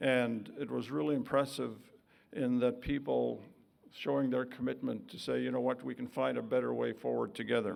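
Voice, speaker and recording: A man with a Canadian accent at a moderate pace. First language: Woodland Cree. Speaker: vice-regal dignitary. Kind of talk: formal speech. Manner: formal.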